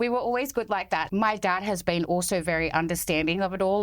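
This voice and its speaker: Speaking at a very fast pace with an Australian accent, a woman uses ordinary pitch variation. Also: very clean recording, silent background. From Sydney, Australia (born in France, moved as a small child). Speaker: charity founder. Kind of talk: casual chat.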